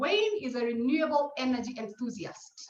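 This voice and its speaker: With audible room echo, a woman speaks at a high pitch. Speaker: webinar moderator. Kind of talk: panel webinar introduction. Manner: fast.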